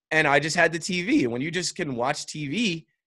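An unremarkable speaking voice, moderately paced, its pitch varying in an ordinary way, against total silence on a very clean recording. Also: man. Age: 30s. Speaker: sports podcast host and content creator. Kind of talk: casual chat.

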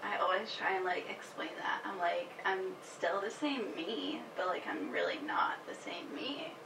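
Over noticeable background noise and audible room echo, a woman with an American accent talks at a fairly slow pace with hardly any pauses. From Massachusetts, Worcester. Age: 20s. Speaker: young mother. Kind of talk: casual chat. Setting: in person.

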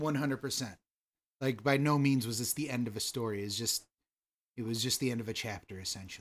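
Speaking very fast, a man with an American accent has a medium pitch. His pitch varies in an ordinary way. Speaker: podcast host. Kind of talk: casual chat between cousins.

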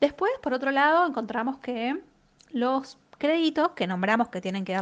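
Her intonation is lively as the woman uses an ordinary speaking voice at a moderate pace. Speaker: economist. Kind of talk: economic commentary column. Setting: sent via WhatsApp.

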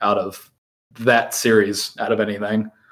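At a moderate pace, a man speaks in an ordinary speaking voice with a medium pitch. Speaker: podcast host. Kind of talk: casual chat.

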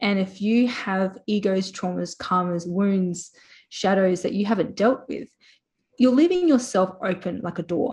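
A woman speaks with an Australian accent at a fairly slow pace. Her voice is somewhat breathy, with a medium pitch and ordinary pitch variation. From South Australia, Port Pirie. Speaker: spiritual healer. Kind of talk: interview.

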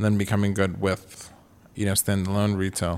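A man's fairly quick, monotone delivery with flat intonation. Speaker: eyewear company founder. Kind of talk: interview.

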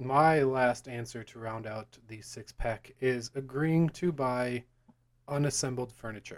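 A normal speaking voice from a man, medium in pitch and fairly slow, with fairly even intonation and big swings in loudness. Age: 20s. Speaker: podcast co-host. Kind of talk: casual chat.

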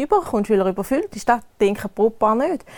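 Fairly high in pitch, a woman speaks in an eastern Swiss accent with ordinary pitch variation. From eastern Switzerland, canton Thurgau. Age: 30s. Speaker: wedding planner. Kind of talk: casual interview chat.

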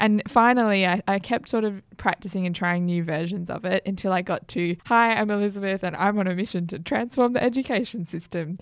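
A woman with an Australian accent speaks with hardly any pauses. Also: medium pitch for a woman, ordinary pitch variation, very clean recording, silent background. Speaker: podcast host and startup founder. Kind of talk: casual chat. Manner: animated.

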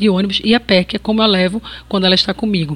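A woman's medium-pitched voice at a very fast pace, with fairly even intonation. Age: 40s. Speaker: journalist and podcast host. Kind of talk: scripted narration.

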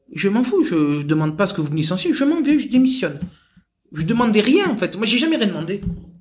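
A man speaks at high pitch with very wide pitch swings and a fairly quick pace. Audible room echo surrounds the recording. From southern France, Marseille. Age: 30s. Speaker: sales executive. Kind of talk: interview.

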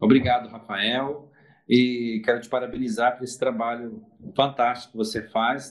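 A man with an ordinary speaking voice and a medium pitch talks at a fairly slow pace. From Espírito Santo, Brazil (Cachoeiro de Itapemirim). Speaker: permanent deacon. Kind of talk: interview.

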